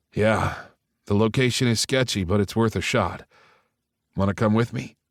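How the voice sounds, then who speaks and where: A man puts on a raspy character voice, fairly low in pitch with ordinary pitch variation, at a moderate pace on a very clean recording with a silent background. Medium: read story. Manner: blunt, terse.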